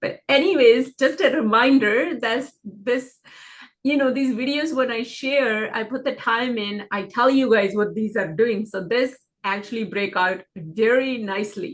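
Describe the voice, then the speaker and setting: Speaking at a fairly slow pace, a woman with a normal speaking voice uses ordinary pitch variation at a fairly high pitch. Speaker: stock trading educator. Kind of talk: market analysis screen-share tutorial. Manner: casual, filler-heavy.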